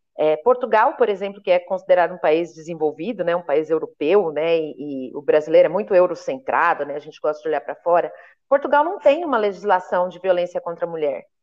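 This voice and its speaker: A woman with an unremarkable speaking voice talks at a fairly quick pace and fairly low pitch, with lively intonation, big swings in loudness and hardly any pauses. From Brazil, interior of São Paulo state. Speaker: human rights activist and lawyer. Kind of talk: interview conversation. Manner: casual, colloquial.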